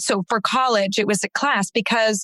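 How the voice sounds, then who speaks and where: A woman with a plain, everyday voice, fairly high in pitch with ordinary pitch variation, sounds dry and close with no echo. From San Antonio, Texas. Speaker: actor and audiobook narrator. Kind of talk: podcast interview answer.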